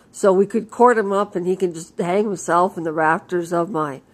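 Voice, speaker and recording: A loud woman's voice at a moderate pace. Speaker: vlogger. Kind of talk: casual monologue rant. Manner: uneven loudness.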